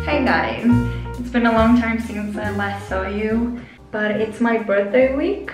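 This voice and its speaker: Clear music plays behind a woman's voice, and audible room echo surrounds it. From Israel. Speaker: vlogger. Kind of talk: casual vlog talk to camera. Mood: cheerful, relaxed. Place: bathroom. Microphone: phone near.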